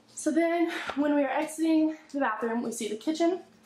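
The speaker keeps a moderate pace with lively intonation, and the recording carries audible room echo and light background noise. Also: woman. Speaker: family vlogger. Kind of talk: casual vlog chat. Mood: upbeat, excited. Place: empty room. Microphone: phone near.

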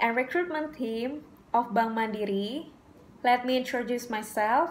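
Her pitch high and her intonation lively, a woman speaks at a fairly slow pace. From Indonesia. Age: 20s. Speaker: job applicant. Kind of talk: scripted self-presentation. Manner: formal. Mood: polite, earnest. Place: home room. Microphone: phone near.

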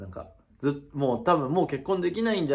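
A somewhat breathy man talks at a very fast pace. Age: 20s. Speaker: YouTuber. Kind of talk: casual vlog announcement. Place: home room. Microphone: phone near.

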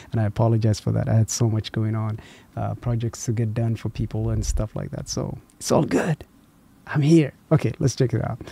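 A soft-spoken, somewhat breathy man with a dark, mellow tone in a dry sound with no echo. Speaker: reaction youtuber. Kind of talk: casual chat. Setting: home at night. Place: home room. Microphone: studio mic.

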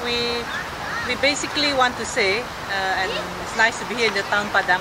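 A woman talks at a fairly quick pace over loud background noise. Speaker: committee spokesperson. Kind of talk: press statement. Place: open country.

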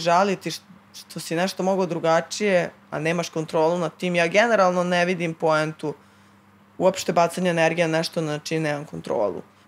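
Intonation here is fairly even. The speaker keeps a moderate pace. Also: woman. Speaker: guest. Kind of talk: casual chat. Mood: relaxed, casual. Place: studio. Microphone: studio mic.

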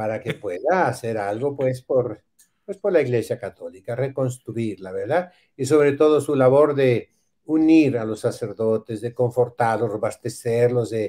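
In a Mexican accent, the speaker talks at a fairly slow pace with a dark, mellow tone and ordinary pitch variation against a quiet background. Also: man. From Mexico. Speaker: priest. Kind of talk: casual chat. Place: home room. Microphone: video call.

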